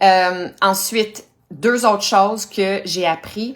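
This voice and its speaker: At a medium pitch, a woman talks with a Quebec accent. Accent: Québécois French. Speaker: health coach, cancer survivor. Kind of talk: Facebook live talk. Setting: live stream.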